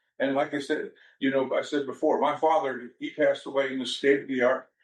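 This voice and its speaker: The speaker uses an ordinary speaking voice with ordinary pitch variation. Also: man. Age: 60s. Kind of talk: press conference remarks. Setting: press event.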